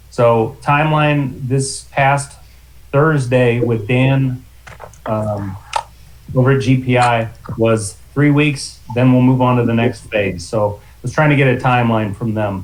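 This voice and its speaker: A man talks at a fairly slow pace in a medium pitch, with big swings in loudness. Audible room echo surrounds his voice. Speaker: library facilities manager. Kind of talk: committee meeting update.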